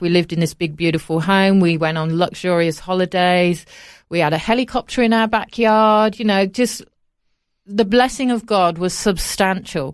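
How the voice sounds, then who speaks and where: Woman with an English Midlands accent at a moderate pace, on a very clean recording with a silent background. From Coventry, England. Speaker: charity founder. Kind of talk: casual interview. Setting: studio.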